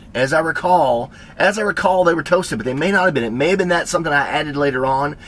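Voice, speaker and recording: A man with a Tennessee accent, fairly high-pitched and animated, at a very fast pace with ordinary pitch variation and noticeable background noise. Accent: Southern US (Tennessee). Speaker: cooking and lifestyle vlogger. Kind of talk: casual storytelling.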